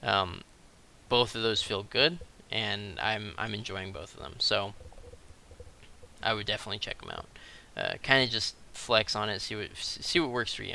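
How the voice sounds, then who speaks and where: A man with a fairly low pitch, bright, sharp tone and vocal fry, ordinary pitch variation, moderate pace, big swings in loudness, long, frequent pauses. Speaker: gaming video creator. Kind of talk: tutorial. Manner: hesitant with many fillers.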